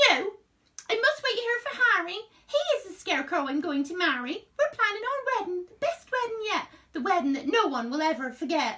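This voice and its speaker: A woman puts on a squeaky character voice at an extremely high pitch. She talks at a fairly quick pace with very wide pitch swings. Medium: read story.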